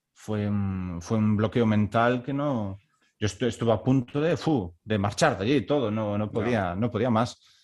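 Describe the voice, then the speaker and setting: With ordinary pitch variation, a man speaks in a plain, everyday voice. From Galicia, Spain (Baiona, near Vigo). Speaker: orchestral clarinetist. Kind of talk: casual interview chat.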